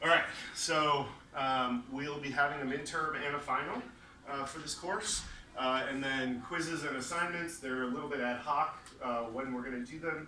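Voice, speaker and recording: A man with a fairly high pitch can be heard through audible room echo. Noticeable background noise runs underneath. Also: ordinary pitch variation, moderate pace. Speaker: university lecturer. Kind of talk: lecture. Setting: classroom with students. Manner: casual, many filler words.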